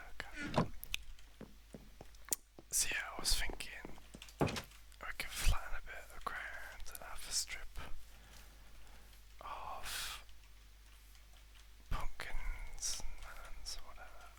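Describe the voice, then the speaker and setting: The speaker is soft-spoken and calm, talking at a very slow pace with long, frequent pauses. Loudness swings a lot from moment to moment. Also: man. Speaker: ASMR gaming creator. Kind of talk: soft-spoken ASMR gameplay commentary. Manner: soft-spoken, calm.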